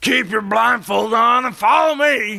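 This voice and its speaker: A man does a put-on character voice at a high pitch, raised and projected. He speaks at a fairly slow pace. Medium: read story. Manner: sarcastic, curt.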